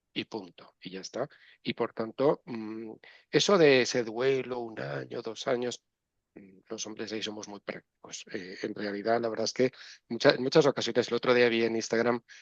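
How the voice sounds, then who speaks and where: Over a quiet background, a man with a medium pitch speaks at a moderate pace with ordinary pitch variation and big swings in loudness, the sound dry and close with no echo. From Spain, Valencia region. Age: 60s. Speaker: neuropsychologist and professor. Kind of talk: interview. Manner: animated.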